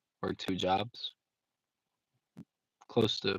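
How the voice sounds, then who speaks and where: The intonation is monotone and flat, and the sound is dry and close with no echo. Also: man. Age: 20s. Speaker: vlogger and retail worker. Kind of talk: casual live-stream vlog. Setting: live stream on phone at home, late night. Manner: casual, hesitant with many fillers.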